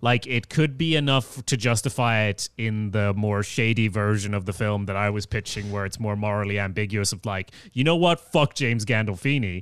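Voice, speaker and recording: A man speaks at a fairly low pitch in a Swedish accent, with ordinary pitch variation and a moderate pace. He takes hardly any pauses against a quiet background. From Sweden. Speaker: podcast host. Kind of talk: casual chat.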